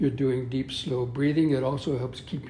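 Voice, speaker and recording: Audible room echo surrounds a man speaking with an American accent at a fairly high pitch. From US West (Southern California). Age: 70s. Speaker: Buddhist monk and yoga teacher. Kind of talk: interview. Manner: halting.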